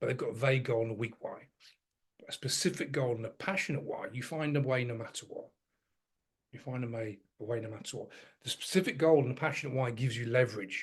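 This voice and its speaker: At a very fast pace yet with long, frequent pauses, a man speaks at a medium pitch, somewhat breathy. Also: ordinary pitch variation. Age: 50s. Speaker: fitness coach. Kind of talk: coaching talk to program members. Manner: animated.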